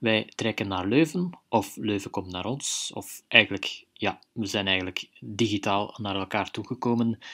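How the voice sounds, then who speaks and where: Hardly pausing, a man talks at a fairly slow pace in a bright, sharp tone. His pitch varies in an ordinary way, on a very clean recording with a silent background. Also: fairly low pitch for a man. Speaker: radio presenter. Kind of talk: radio show announcement.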